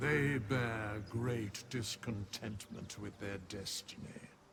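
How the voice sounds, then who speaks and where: Someone uses a put-on character voice at a very slow pace, with clear background noise behind it. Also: man, medium pitch for a man. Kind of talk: archaic formal speech. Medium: video game. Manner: cryptic, aloof.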